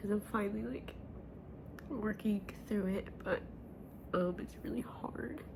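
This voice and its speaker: Long, frequent pauses mark this fairly slow delivery, heard over noticeable background noise. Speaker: vlogger. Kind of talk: personal vlog. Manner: halting.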